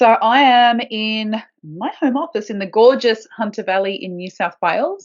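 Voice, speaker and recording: A woman with a strong Australian accent speaks at a moderate pace in a fairly high pitch, her loudness swinging widely and her intonation lively, with hardly any pauses. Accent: broad Australian. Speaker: podcast co-host, permaculture gardener. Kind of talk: casual chat. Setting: home office.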